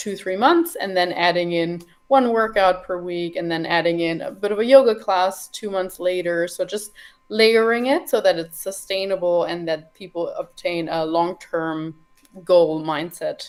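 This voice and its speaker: A woman with a slight German accent speaks with ordinary pitch variation. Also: medium pitch for a woman, moderate pace. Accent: slight European (German). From Germany. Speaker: nutrition and fitness coach. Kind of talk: podcast interview.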